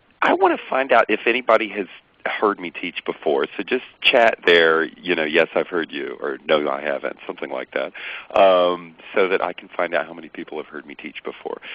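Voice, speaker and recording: A man with an American accent talks at a moderate pace, his loudness swinging widely. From US South, Atlanta, Georgia. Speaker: accountant and software trainer. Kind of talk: webinar tutorial. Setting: online webinar. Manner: casual, many fillers.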